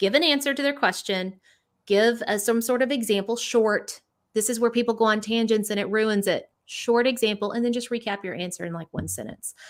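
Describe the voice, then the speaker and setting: A woman speaks in an energetic tone at a fairly quick pace, her fairly high pitch showing ordinary variation. The recording is very clean, with a silent background. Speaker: education leadership coach. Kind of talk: interview. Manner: fast.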